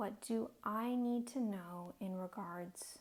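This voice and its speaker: A soft-spoken woman talks very slowly. Her voice is somewhat breathy. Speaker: tarot and oracle card reader. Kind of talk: oracle card reading. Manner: soft-spoken, relaxing.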